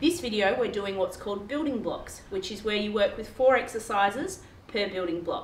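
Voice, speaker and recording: In a room with audible echo and light background noise, a woman speaks at a fairly quick pace with lively intonation. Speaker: fitness trainer. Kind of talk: workout tutorial intro. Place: garage. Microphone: camera far.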